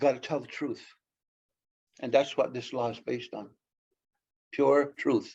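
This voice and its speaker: A man with a Canadian accent speaks at a moderate pace, his loudness swinging widely, with long, frequent pauses. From Mohawk Nation at Akwesasne. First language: Mohawk. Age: 70s. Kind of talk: public lecture.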